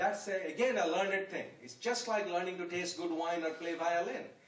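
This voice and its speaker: There is noticeable background noise and audible room echo as a man speaks at a high pitch and a moderate pace. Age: 70s. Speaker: guest speaker at youth event. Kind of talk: public talk. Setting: room with audience.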